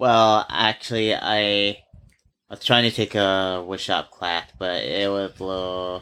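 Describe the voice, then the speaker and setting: A man talks at a very slow pace in a fairly low voice with a bright, sharp tone. His intonation stays fairly even. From Hawaii (Kula, Maui). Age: 30s. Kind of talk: casual interview.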